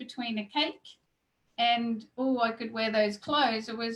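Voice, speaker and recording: Speaking in an Australian accent, a woman uses a high pitch at a fairly slow pace. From Australia, Gold Coast. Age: 50s. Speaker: weight loss coach. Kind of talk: interview. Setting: video call.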